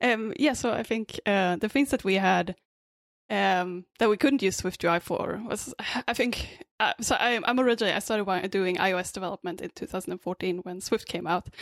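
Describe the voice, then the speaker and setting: Recorded very cleanly against a silent background, the speaker talks at a fairly quick pace with a Swedish accent and ordinary pitch variation. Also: woman, medium pitch for a woman, dry, close sound with no echo. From Sweden. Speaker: app developer and meetup organizer. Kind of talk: casual chat.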